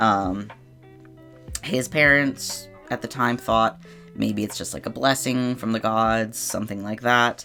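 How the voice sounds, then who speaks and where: Long, frequent pauses, a fairly slow pace, and music in the background. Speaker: digital artist, YouTuber. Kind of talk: casual voiceover explaining characters. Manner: casual, hesitant with many fillers.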